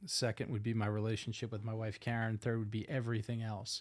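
On a very clean recording with a silent background, a man with a Northeastern US accent speaks at a medium pitch. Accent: Northeast US. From US Northeast, Philadelphia. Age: 50s. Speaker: pastor. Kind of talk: casual chat. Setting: home studio.

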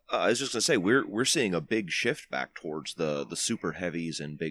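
Fairly quick and full of vocal fry, a man's very deep voice swings widely in pitch, with a dry, close sound, no echo, and a very clean recording with a silent background. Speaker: wargaming podcast guest. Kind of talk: casual chat.

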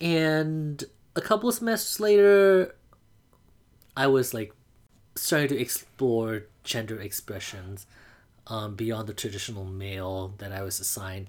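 On a very clean recording with a silent background, a man at a medium pitch speaks at a fairly slow pace with lively intonation, big swings in loudness, and long, frequent pauses. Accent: Burmese. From Mandalay, Myanmar. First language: Burmese. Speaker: drag performer and producer. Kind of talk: personal coming-out story.

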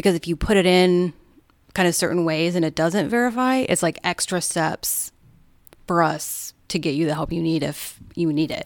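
A woman with an unremarkable speaking voice talks at a moderate pace and fairly low pitch with ordinary pitch variation, in a very clean recording with a silent background. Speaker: police dispatcher. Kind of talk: casual conversation.

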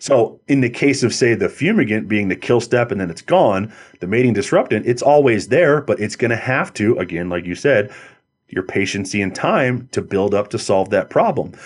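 Against a quiet background, a man with a normal speaking voice talks at medium pitch and a moderate pace with lively intonation. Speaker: pest control industry market manager. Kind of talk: interview, conversational expert talk.

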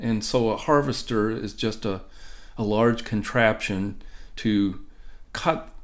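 A man with an American accent speaks at a very slow pace. His pitch is medium, and there is audible room echo. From Ohio, US Midwest. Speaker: professor. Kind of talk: interview.

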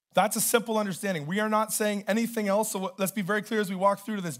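A loud man with a Canadian accent and a high pitch comes through in a very clean recording over a silent background. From Canada. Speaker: pastor. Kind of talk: sermon. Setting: church.

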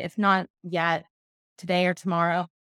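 On a very clean recording with a silent background, a woman talks at a medium pitch. The sound is dry and close with no echo, and her pace is moderate. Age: 20s. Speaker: sober lifestyle brand founder. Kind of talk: interview.

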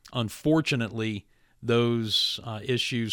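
In an ordinary speaking voice with an American accent, a man speaks at a medium pitch and a fairly slow pace with fairly even intonation, the sound dry and close with no echo. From West Virginia. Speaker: radio host. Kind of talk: announcement; radio interview. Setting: studio.

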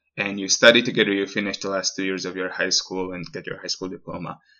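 A man with a Slovak accent at a fairly low pitch and very fast pace. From Slovakia. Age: 20s. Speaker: podcast guest living abroad. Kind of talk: casual interview.

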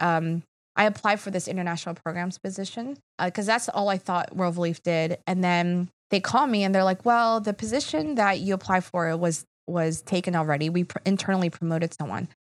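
A woman with an American accent talks in an unremarkable speaking voice with ordinary pitch variation. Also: very clean recording, silent background. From Philadelphia. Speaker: nonprofit advocacy executive. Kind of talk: casual interview.

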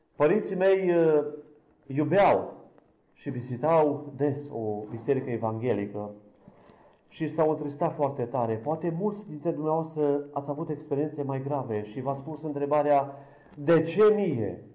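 This man has a dark, mellow tone and a fairly high pitch, with ordinary pitch variation. He speaks at a fairly slow pace, and the room echo is audible. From Romania, Câmpia Turzii. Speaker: blind church minister giving testimony. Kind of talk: testimony.

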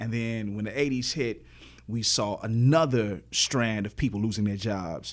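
This man talks at a moderate pace, his medium-pitched voice rising and falling ordinarily. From Chicago, South Side. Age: 40s. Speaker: professor and activist. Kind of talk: interview conversation.

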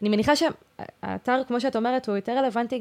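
A woman talks with fairly even intonation in a very clean recording with a silent background. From Israel, Haifa Krayot. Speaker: student podcast host. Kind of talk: interview.

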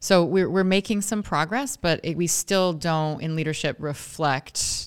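Moderate pace with hardly any pauses, in an American accent. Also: woman. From Oregon, US West Coast. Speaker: city mayor. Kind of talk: interview before a live audience. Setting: room with live audience.

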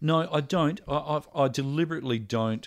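In a very clean recording with a silent background, a man with an Australian accent speaks at a moderate pace with ordinary pitch variation. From Adelaide, South Australia. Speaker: musician, singer-songwriter. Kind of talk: casual interview chat. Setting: home recording studio.

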